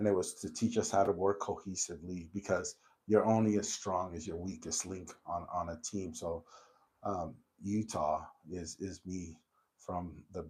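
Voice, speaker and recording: The loudness swings widely while the intonation stays fairly even. The voice is somewhat breathy. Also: man. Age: 40s. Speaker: podcast host. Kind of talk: casual chat. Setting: in-person conversation.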